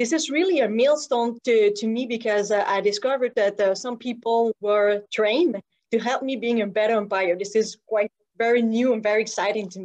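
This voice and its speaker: The speaker has a Quebec accent and ordinary pitch variation. The pace is fairly quick. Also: woman, fairly high pitch for a woman. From Quebec, Montreal South Shore. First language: French. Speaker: softball umpire. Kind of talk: personal story talk. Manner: halting, many fillers.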